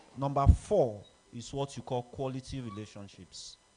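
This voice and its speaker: Here a man talks at a moderate pace and a medium pitch. His tone is dark and mellow. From southwestern Nigeria. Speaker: alumni speaker. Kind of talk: speech at an association meeting.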